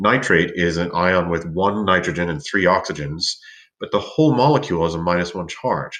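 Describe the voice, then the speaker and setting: Lively intonation at a fairly quick pace. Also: man. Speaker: teacher. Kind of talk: tutorial. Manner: fast; hesitant with fillers.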